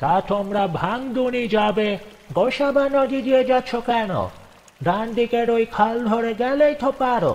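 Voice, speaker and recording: Putting on a character voice, a man speaks extremely high for a man, at a fairly slow pace with ordinary pitch variation and very even loudness. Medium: read story. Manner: insistent, coaxing.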